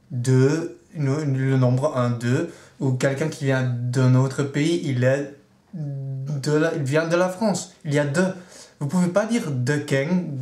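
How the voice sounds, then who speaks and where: Very slow speech from a man with fairly high pitch and ordinary pitch variation, plus audible room echo. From Netherlands. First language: Dutch (speaking French). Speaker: vlogger. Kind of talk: video blog rant.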